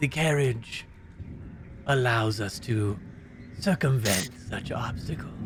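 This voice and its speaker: A man puts on a character voice at a medium pitch, speaking at a fairly slow pace. His long, frequent pauses sit over clear background noise. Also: ordinary pitch variation. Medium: actual play. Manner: formal, measured, thinly courteous.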